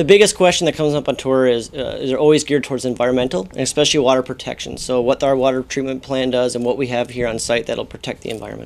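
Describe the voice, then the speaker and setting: A man rushes along at a very fast pace with hardly any pauses and ordinary pitch variation. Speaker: mine staff spokesperson. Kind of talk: interview answer. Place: office. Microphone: lapel.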